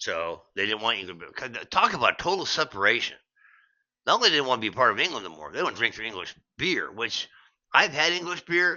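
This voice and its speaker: This man talks at a fairly quick pace in a fairly high pitch, with vocal fry. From United States. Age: 60s. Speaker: beer vlogger, veteran. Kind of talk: casual vlog monologue. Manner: rambling with frequent fillers and restarts.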